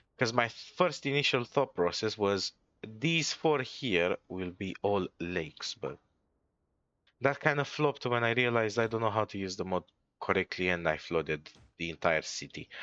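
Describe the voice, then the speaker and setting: A man with a non-native accent and medium pitch speaks at a moderate pace with lively intonation. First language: not English. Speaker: gaming streamer. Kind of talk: gameplay commentary. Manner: stutters, stumbles over words; casual.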